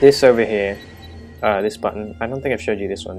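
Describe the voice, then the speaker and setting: A man's voice is fairly low-pitched. Behind him, music is playing. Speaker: Minecraft map and mod creator. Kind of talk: casual gameplay walkthrough narration. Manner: hesitant, many filler sounds.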